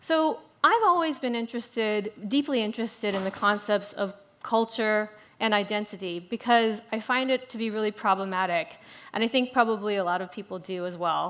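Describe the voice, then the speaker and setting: An ordinary speaking voice from a woman, fairly high in pitch, with ordinary pitch variation and a fairly quick pace. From US South, Louisiana (Shreveport). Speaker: food writer, moderator. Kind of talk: panel discussion.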